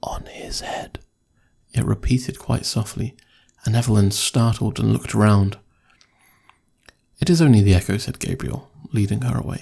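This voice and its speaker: Speaking at a moderate pace with long, frequent pauses, a man uses a fairly low, dark, mellow and somewhat breathy voice whose pitch swings very widely. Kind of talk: horror story reading. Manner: soft-spoken, whispered.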